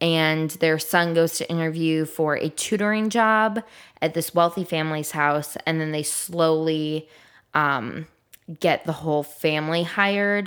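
On a very clean recording with a silent background, a woman with an American accent talks at a fairly slow pace with fairly even intonation. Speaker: podcast co-host. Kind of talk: casual chat.

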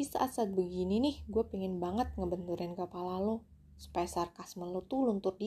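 This is an unforced reading voice. It reads the lines through.

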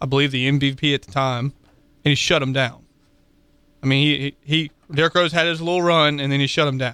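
An ordinary speaking voice carries fairly even intonation throughout. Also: man. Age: 20s. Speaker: sports radio co-host. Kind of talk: casual chat.

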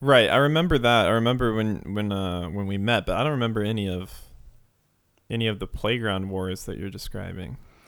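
A man with a plain, everyday voice and a fairly low pitch talks at a fairly quick pace with ordinary pitch variation. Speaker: podcast host. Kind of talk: casual comedic chat.

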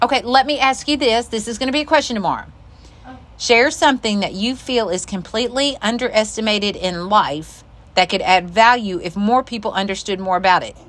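A woman talks at a fairly quick pace with ordinary pitch variation. Hers is an ordinary speaking voice, fairly high in pitch. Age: 50s. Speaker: podcast co-host, clothing shop owner. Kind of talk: casual chat. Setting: clothing shop.

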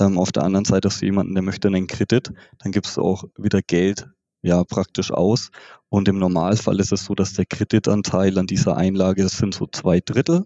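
This man talks at a fairly quick pace with a very deep, low pitch and fairly even intonation. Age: 30s. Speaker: bank treasury specialist. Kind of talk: interview explanation.

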